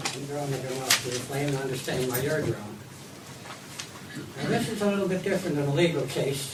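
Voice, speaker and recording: Through noticeable background noise and audible room echo, a man talks at a fairly quick pace in a fairly high pitch. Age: 80s+. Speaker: retired farmer. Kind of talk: public consultation comment. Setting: community hall meeting.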